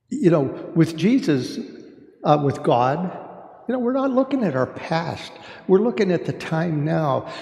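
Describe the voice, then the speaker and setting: A man speaks at a fairly slow pace, with long, frequent pauses and a high pitch that swings very widely. Noticeable background noise is present. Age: 70s. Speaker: church discussion group leader. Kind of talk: faith discussion talk. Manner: halting, many fillers.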